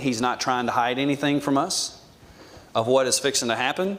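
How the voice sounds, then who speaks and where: Speaking with an American accent, a man uses a fairly high pitch with ordinary pitch variation. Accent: Southern US, self-described redneck dialect. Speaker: Bible class teacher. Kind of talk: Bible class lecture. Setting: church classroom with audience. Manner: casual, conversational with fillers.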